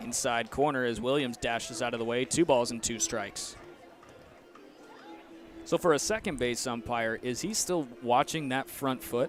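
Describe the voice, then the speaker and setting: Long, frequent pauses break up speech delivered at a moderate pace with ordinary pitch variation. Music plays in the background. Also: man, medium pitch for a man. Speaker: sports broadcaster, play-by-play announcer. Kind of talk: TV baseball play-by-play.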